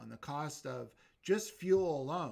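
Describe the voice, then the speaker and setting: Fairly slow pace and fairly high pitch from a man, with ordinary pitch variation, in a very clean recording with a silent background. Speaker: YouTube livestream host. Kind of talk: casual chat. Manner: loud.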